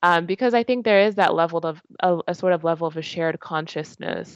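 A woman with an American accent and an unremarkable speaking voice, moderate pace and ordinary pitch variation, dry and close with no echo over a quiet background. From Georgia, US. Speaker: interviewee. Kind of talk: interview. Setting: video call.

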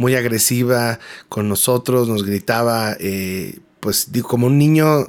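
In a Mexican accent, a man speaks fairly slowly at a medium pitch with fairly even intonation. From Mexico City. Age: 30s. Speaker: graphic designer and worship singer-songwriter. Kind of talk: personal testimony interview. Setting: radio studio.

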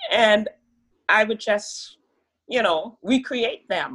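Slowly, very slowly, a woman speaks. Her pitch is fairly high. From Trinidad, then Brooklyn from age 14. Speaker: pharmacist and health coach. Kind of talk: interview. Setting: video call.

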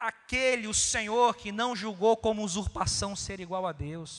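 The background is silent and the recording very clean. The speaker is male. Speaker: preacher. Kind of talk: sermon on communion, Bible reading, exhortation. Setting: church. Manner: earnest, pastoral, rhetorical repetition; formal, measured, direct address to congregation.

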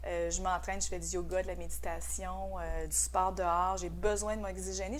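A woman talks at a moderate pace. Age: 50s. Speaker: social media marketing entrepreneur. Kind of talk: podcast interview.

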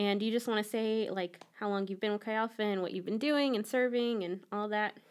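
A woman talks fairly quickly in a normal speaking voice, with hardly any pauses. Her pitch sits fairly high and her intonation stays fairly even. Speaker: campus ministry podcast host. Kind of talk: casual interview.

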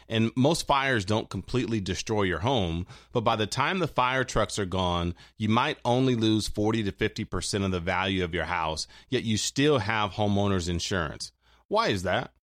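In an ordinary speaking voice, a man keeps a moderate pace and ordinary pitch variation. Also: fairly low pitch for a man. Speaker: financial advisor and radio host. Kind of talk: scripted infomercial-style sales pitch for retirement products. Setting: studio. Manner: smooth, persuasive salesman cadence with rhetorical questions; urgent, repetitive call-to-action reading out phone numbers.

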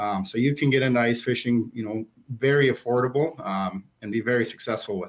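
With an Upper Midwest accent, a man speaks at a fairly quick pace in a medium pitch with ordinary pitch variation. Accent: Upper Midwest (Minnesota). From northern Minnesota. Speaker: fishing store manager. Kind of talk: casual interview. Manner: relaxed, frequent fillers.

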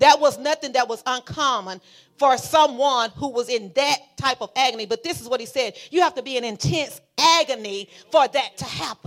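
Her tone animated and her pitch high with ordinary variation, a woman speaks on a very clean recording with a silent background. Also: moderate pace, big swings in loudness. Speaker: preacher. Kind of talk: sermon. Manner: loud.

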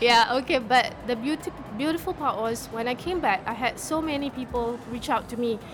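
With music playing in the background, a woman talks at a moderate pace in a high pitch. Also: ordinary pitch variation. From Singapore. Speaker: author and entrepreneur. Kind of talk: radio interview. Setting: live radio broadcast at a book fair.

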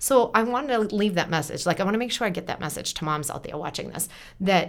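With an American accent, a woman speaks at a very fast pace and with lively intonation on a very clean recording with a silent background. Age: 40s. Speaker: entrepreneur and teacher. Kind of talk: casual chat. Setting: studio.

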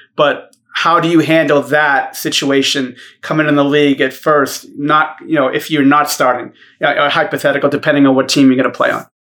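A man speaks with a Boston accent at a fairly high pitch. His tone is bright and sharp, his intonation monotone and flat. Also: fairly quick pace. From Boston, US. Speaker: basketball podcast co-host. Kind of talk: casual chat.

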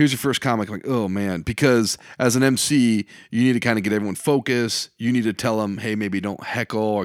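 On a very clean recording with a silent background and a dry, close sound with no echo, a man with a Midwestern American accent talks at a very fast pace, medium in pitch, with fairly even intonation. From eastern Iowa, Davenport. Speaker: comedian and high school teacher. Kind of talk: casual interview chat. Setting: makeshift home studio.

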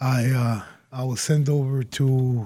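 A man speaks at a medium pitch with a dark, mellow tone and some breathiness. His intonation is monotone and flat. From Puerto Rico, later Yonkers NY and Springfield MA. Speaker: former prisoner, now sheriff's department staff. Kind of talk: interview. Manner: halting, repeats words.

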